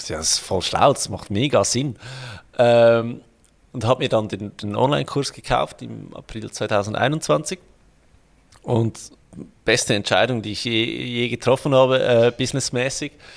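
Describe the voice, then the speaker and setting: A man speaks at a medium pitch with vocal fry and ordinary pitch variation. His loudness swings widely, and he takes long, frequent pauses. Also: fairly slow pace. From Switzerland. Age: 30s. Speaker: financial planner and online entrepreneur. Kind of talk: interview.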